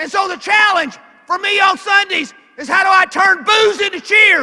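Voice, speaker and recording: Shouting, a man speaks with a Southern US accent. His pitch sits extremely high. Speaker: NFL referee and speaker. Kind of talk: motivational speech. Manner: animated.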